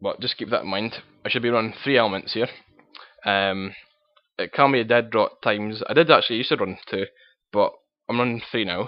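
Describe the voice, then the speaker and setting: A man's medium-pitched voice in a strong Scottish accent, at a fairly quick pace with ordinary pitch variation, over music in the background. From Scotland. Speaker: card game player. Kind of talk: casual deck profile talk to camera.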